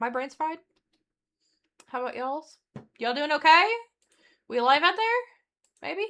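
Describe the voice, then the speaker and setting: A high-pitched woman in a raised, projected voice at a moderate pace, lively in intonation, with long, frequent pauses. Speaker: streamer. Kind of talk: casual chat. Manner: halting.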